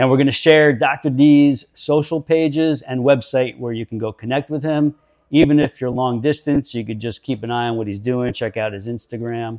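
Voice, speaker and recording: Man with a plain, everyday voice, moderate pace, fairly even intonation and hardly any pauses, in dry, close sound with no echo. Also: medium pitch for a man. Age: 50s. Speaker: podcast host and fitness coach. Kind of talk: casual interview. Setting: studio.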